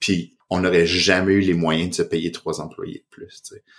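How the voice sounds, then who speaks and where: On a very clean recording with a silent background, the speech moves at a fairly slow pace. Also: man. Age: 30s. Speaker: psychotherapist and podcast host. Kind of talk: casual chat. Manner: halting.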